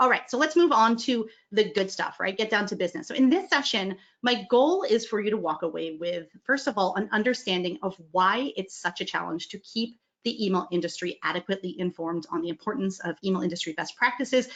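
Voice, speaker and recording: A woman's medium-pitched voice with lively intonation at a fairly quick pace. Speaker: email marketing executive, conference speaker. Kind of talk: conference talk. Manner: fast; animated.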